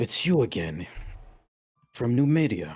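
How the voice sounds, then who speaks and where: Putting on a raspy character voice, a man speaks fairly slowly at a medium pitch with an intense tone and very wide pitch swings. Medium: actual play. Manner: terse, intense.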